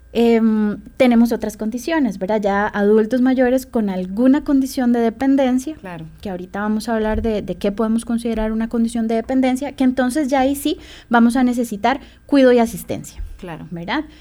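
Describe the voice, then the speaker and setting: A woman with a dark, mellow tone and fairly high pitch, ordinary pitch variation and a fairly quick pace. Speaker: social worker. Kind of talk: radio interview.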